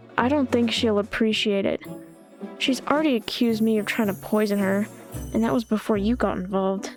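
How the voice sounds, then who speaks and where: Music plays in the background as a woman speaks at a fairly quick pace. Her loudness stays very even, with ordinary pitch variation. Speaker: visual novel let's play narrator. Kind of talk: reading a visual novel aloud. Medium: read story.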